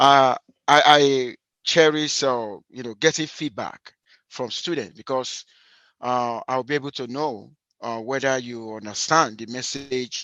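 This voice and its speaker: Recorded dry and close with no echo against a quiet background, a man with a Nigerian accent talks at a fairly slow pace in a medium-pitched voice with a bright, sharp tone and fairly even intonation. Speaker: university statistics lecturer. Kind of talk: lecture. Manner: hesitant, many fillers and repetitions.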